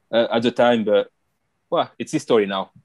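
A man speaks at a medium pitch with a French accent. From France, Paris area. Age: 30s. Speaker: retired footballer. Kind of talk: interview. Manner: halting.

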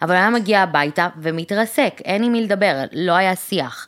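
On a very clean recording with a silent background, a woman speaks very slowly at a medium pitch with lively intonation. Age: 30s. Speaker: podcast co-host. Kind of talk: casual chat.

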